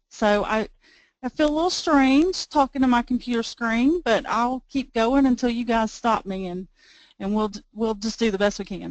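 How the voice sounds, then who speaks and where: In a Southern US accent, the speaker talks with ordinary pitch variation against a quiet background. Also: woman. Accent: Southern US drawl. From US South, Georgia. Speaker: IT manager and presenter. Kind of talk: webinar presentation. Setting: webinar on computer, no camera.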